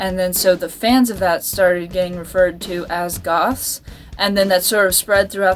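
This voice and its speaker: A woman's fairly even intonation with music in the background. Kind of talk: casual talk to camera. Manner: unscripted, rambling.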